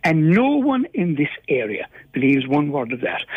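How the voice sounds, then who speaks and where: A man with a Cork accent talks at a moderate pace, his pitch swinging very widely. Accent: Cork Irish. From Ireland, East Cork. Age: 70s. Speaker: caller, local resident. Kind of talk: radio phone-in. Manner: halting, repeats words.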